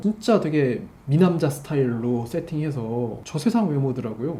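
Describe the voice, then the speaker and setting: Calm in tone, a man speaks at a moderate pace with very wide pitch swings, against noticeable background noise. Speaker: drama producer. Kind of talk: casual talk show conversation.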